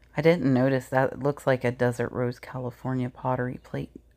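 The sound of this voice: A woman's extremely low voice with vocal fry, little pitch movement and a dark, mellow tone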